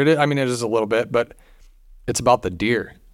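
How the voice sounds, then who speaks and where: An ordinary speaking voice: a man at a medium pitch, fairly quick pace and ordinary pitch variation, in a very clean recording with a silent background. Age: 30s. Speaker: hunting podcast host. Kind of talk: casual chat.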